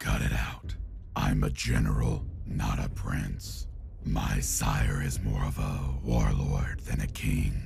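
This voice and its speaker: A man puts on a character voice, speaking fairly slowly against loud background noise. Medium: audio drama. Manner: formal, measured.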